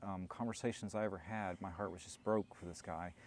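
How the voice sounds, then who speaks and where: A man's very deep, low voice at a fairly quick pace, with fairly even intonation. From US South, Alabama. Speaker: long-distance hiker and project founder. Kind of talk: interview.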